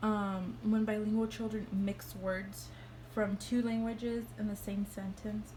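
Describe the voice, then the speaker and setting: A woman with a Spanish accent speaks at a medium pitch and a fairly slow pace, in a monotone, flat intonation. Noticeable background noise and audible room echo are present. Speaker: student. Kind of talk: class presentation. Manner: hesitant, many fillers.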